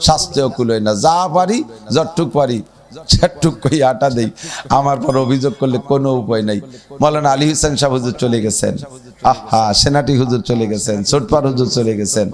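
Noticeable background noise runs behind the voice. A man talks at a medium pitch, varying it in an ordinary way. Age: 50s. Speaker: Islamic preacher. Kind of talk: sermon. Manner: animated.

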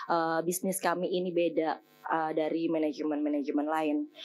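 With music playing in the background, a woman talks at a moderate pace in a fairly low pitch. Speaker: head of talent at a digital agency, alumni speaker. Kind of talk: guest lecture to students. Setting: stage with audience in amphitheatre. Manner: casual, chatty. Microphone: podium.

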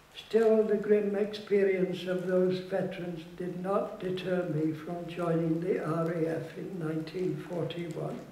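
A high-pitched man speaks at a fairly slow pace with hardly any pauses, his intonation flat and monotone amid audible room echo. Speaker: war veteran; activist. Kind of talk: public speech. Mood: solemn, reflective. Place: hall. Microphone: podium.

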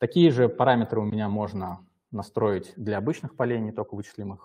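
A man with a fairly low pitch talks at a fairly quick pace in an ordinary speaking voice. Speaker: software development lead. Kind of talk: live software demo. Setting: live stream. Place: home room.

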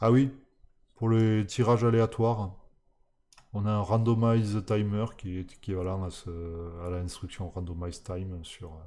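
A man speaks at a very slow pace in a dark, mellow tone. His intonation stays fairly even. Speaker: programming streamer. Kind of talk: live-streamed coding tutorial. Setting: live stream from home. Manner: hesitant, many fillers.

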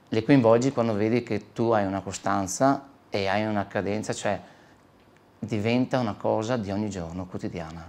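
A man speaks at a moderate pace in a fairly low pitch, with ordinary pitch variation. Long, frequent pauses break up his speech, and the recording is very clean with a silent background. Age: 40s. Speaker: body shop owner. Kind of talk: interview.

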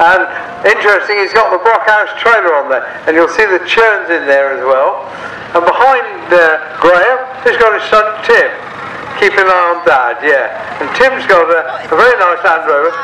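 Projecting a raised voice, a man speaks at a moderate pace with lively intonation and long, frequent pauses. Light background noise and audible room echo are present. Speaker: show ring commentator. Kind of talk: commentary. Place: open country.

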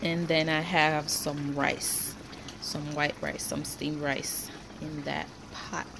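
A woman speaks slowly at a low pitch, with vocal fry and little pitch movement. Background noise is clearly audible.

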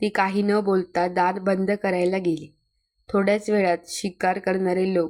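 A quiet background behind plain reading aloud

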